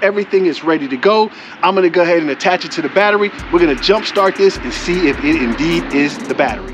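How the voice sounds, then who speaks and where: With music in the background, a man speaks at a very fast pace with lively intonation. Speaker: motorcycle vlogger. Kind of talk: tutorial. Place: street. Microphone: phone near.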